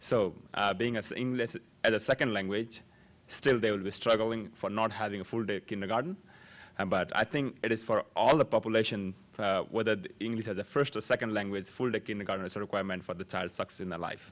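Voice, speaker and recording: A man with a Nepali accent speaks at a very fast pace, his pitch fairly low and his intonation fairly even. The recording is very clean, with a silent background. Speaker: parent speaking at public comment. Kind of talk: public comment at board meeting. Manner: halting.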